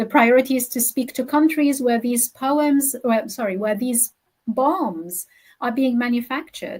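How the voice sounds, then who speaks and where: Speech comes at a fairly slow pace in an Arabic accent, with ordinary pitch variation. The recording is very clean, with a silent background. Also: woman, high pitch for a woman. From Gaza, Palestine. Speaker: poet and academic. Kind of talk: interview.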